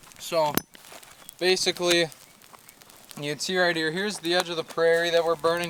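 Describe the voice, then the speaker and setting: A man's high-pitched voice comes through with noticeable background noise. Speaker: outdoor vlogger. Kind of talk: casual vlog talk to camera. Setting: outdoors.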